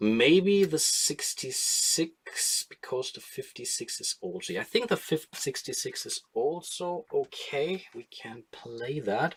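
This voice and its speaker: Speaking very slowly in a strong German accent, a man shows big swings in loudness. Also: hardly any pauses. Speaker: board game streamer. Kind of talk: live stream solo gameplay commentary. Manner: casual, thinking aloud with hesitations.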